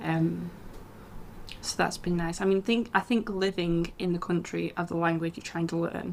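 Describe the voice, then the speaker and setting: A woman with a northern English accent at a fairly low pitch, moderate pace and fairly even intonation. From England. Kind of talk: casual podcast conversation.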